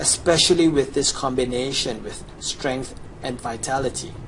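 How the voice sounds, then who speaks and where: A man with ordinary pitch variation, against noticeable background noise. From Chinese background. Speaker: gamer, video guide maker. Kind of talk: gameplay sales pitch. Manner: animated.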